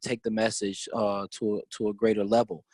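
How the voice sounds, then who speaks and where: A man with an American accent talks at a fairly quick pace in a very clean recording with a silent background and a dry, close sound with no echo. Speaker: teacher, activist and congressional candidate. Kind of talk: interview. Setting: podcast. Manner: loud.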